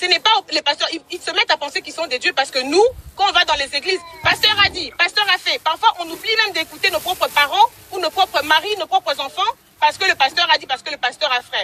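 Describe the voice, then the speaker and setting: A woman talks at a very fast pace in a raised, projected voice with extremely high pitch and ordinary pitch variation. Noticeable background noise sits behind her. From DR Congo. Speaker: caller. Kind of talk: heated debate. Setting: in a car. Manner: loud; halting.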